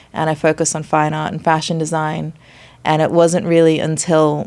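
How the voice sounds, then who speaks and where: In an Australian accent, a woman speaks at a very deep, low pitch with monotone, flat intonation on a very clean recording with a silent background. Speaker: chef and nutritionist. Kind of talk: podcast interview.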